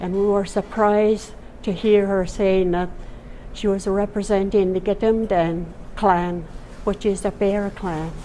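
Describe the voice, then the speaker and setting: A woman speaks at a fairly slow pace in a dark, mellow tone. Her medium pitch stays monotone and flat. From Canada, Wet'suwet'en territory, British Columbia. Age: 80s+. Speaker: First Nations elder and knowledge keeper. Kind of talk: interview testimony. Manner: halting.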